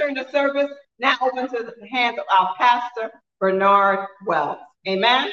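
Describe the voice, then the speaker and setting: With high pitch and a bright, sharp tone, a woman speaks at a fairly slow pace with lively intonation. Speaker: service announcer. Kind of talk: announcement and prayer. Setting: church.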